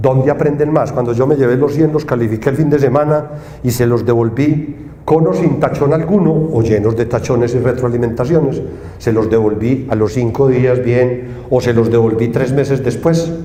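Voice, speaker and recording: Audible room echo and noticeable background noise surround a man speaking at a medium pitch and moderate pace, with very even loudness and fairly even intonation. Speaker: engineering professor. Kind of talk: conference talk. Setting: stage with audience. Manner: casual, conversational.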